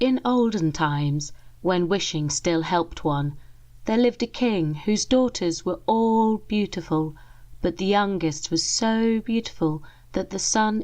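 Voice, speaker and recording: With an English accent, the speaker moves at a fairly slow pace and uses lively intonation. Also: woman. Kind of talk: ASMR story reading. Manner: soft-spoken.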